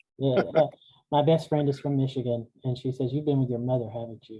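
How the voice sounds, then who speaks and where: Keeping his intonation fairly even, a man speaks at a fairly quick pace. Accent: Southern Appalachian. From US South, Appalachian Georgia. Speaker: seminary archivist, interviewer. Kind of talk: oral history interview.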